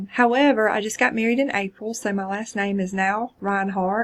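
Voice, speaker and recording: A woman speaks with a South Carolina accent. Her pace is moderate. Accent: Chester County South Carolina. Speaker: college instructor. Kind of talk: course introduction video. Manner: casual, hesitant fillers.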